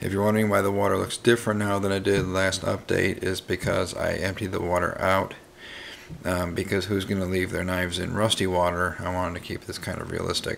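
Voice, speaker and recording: A man speaks at a fairly quick pace in a very deep, low pitch, his intonation monotone and flat. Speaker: knife hobbyist video host. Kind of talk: casual video update. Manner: hesitant, many fillers.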